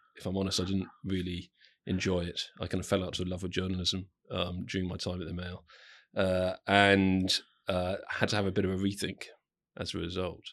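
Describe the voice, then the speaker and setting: Against a quiet background, a man with a southern English accent talks fairly quickly in a very deep, low pitch with monotone, flat intonation. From southern England, Southampton. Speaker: corporate communications executive. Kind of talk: interview. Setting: studio. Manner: hesitant, many fillers.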